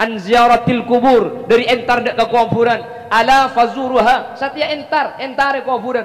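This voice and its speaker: This man's pitch is extremely high, delivered in a flat monotone at a moderate pace. Noticeable background noise sits behind him. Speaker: Islamic preacher. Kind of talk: religious sermon to a live audience.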